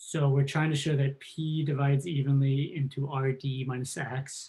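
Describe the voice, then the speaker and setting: The man's voice is fairly high and somewhat breathy. He speaks at a fairly slow pace with fairly even intonation. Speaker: math professor. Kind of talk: lecture.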